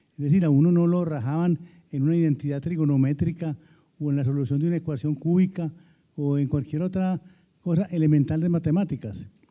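Against a quiet background, a man talks at a fairly quick pace in a dark, mellow tone, his fairly high pitch held in fairly even intonation. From Antioquia, Colombia. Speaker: retired professor and former executive; retired professor. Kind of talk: panel discussion. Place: hall. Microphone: handheld.

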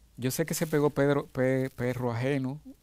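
The speaker is a man. His voice carries a dark, mellow tone. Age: 60s. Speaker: musician. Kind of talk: interview. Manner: halting. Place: studio. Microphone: lapel.

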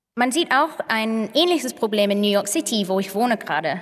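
A woman with an English accent and lively intonation. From northern England, Manchester. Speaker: tech and data researcher. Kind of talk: conference talk. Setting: stage with audience. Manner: halting, many filler sounds. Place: stage. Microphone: podium.

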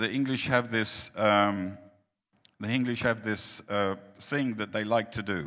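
Against a quiet background, the voice moves at a very slow pace with long, frequent pauses, a bright, sharp tone and fairly even intonation. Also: man, fairly low pitch for a man. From Finland. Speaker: preacher. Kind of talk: sermon. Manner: short phrases with pauses for interpreter. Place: hall.

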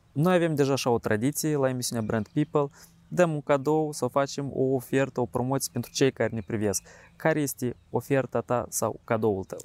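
Here a man speaks at a moderate pace with ordinary pitch variation. The sound is dry, with no echo. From Moldova. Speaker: show host. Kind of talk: interview. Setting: outdoors.

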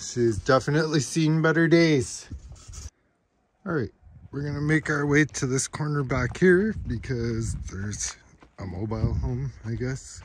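Over light background noise, a man talks at a fairly slow pace with long, frequent pauses and lively intonation, the sound dry with no echo. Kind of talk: casual vlog chat. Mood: amused, upbeat. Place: open country. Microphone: phone near.

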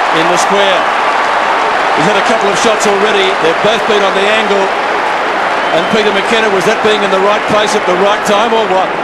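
Against loud background noise, a man talks at a fairly quick pace with long, frequent pauses. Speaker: football commentator. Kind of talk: live commentary. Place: stadium.

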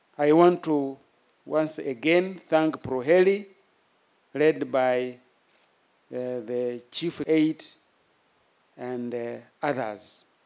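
Taking long, frequent pauses, a man speaks very slowly with ordinary pitch variation. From Uganda. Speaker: military chief. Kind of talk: formal speech. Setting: outdoor ceremony with audience. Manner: formal; halting. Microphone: podium.

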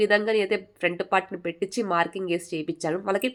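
A woman's normal speaking voice at a medium pitch, with fairly even intonation. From Telangana, Bhadradri Kothagudem district. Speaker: embroidery teacher and channel host. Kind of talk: tutorial.

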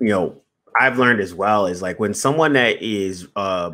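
The tone is bright and sharp, with ordinary pitch variation. The pace is moderate. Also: man. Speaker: podcast host. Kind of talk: casual conversation. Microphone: studio mic.

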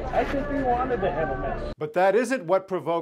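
A man talks at a fairly quick pace with lively intonation. Crowd noise fills the background. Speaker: news reporter. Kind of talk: news reading. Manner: formal, measured. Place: studio. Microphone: lapel.

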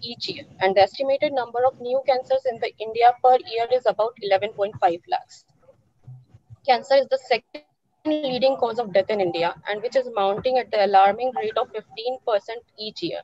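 A woman speaks in a high voice at a moderate pace. Her intonation is lively. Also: dry sound with no echo. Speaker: session moderator. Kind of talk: formal introduction. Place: office. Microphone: video call.

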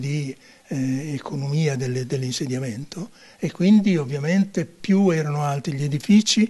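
Somewhat breathy speech comes at a moderate pace, with ordinary pitch variation and a quiet background. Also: man. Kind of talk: interview answer. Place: home room. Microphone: handheld.

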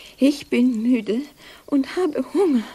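A woman performs a cartoonish character voice, high-pitched, dark and mellow with a slightly husky edge. She speaks slowly, with lively intonation.

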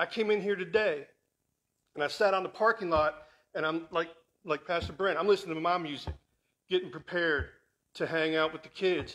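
Speaking at a moderate pace, a man uses a high pitch. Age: 50s. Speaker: guest speaker; guest. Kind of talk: sermon. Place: church.

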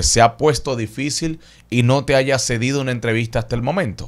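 A man with a Dominican accent talks at a moderate pace and medium pitch over a quiet background. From Dominican Republic. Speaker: YouTube interviewer and radio host. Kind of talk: interview. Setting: studio. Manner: casual. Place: studio. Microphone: studio mic.

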